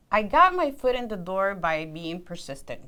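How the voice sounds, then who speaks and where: A woman with a non-native accent. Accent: non-native accent, worked on reducing it. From immigrant, grew up outside the US. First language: not English. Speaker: civil engineer. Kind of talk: career interview.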